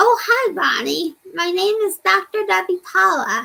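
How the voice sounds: A woman's squeaky, put-on character voice at an extremely high pitch and a fairly slow pace.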